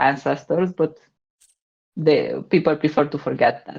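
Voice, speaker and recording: A woman's very deep, low voice with a slight Romanian accent, at a fairly slow pace. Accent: slight Romanian accent, good English. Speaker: podcast co-host, game expert. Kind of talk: casual chat.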